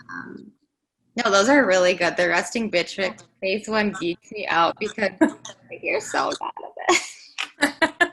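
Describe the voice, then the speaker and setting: A woman's bubbly, bright, sharp tone at a fairly slow pace, with long, frequent pauses. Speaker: podcast co-host. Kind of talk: casual chat.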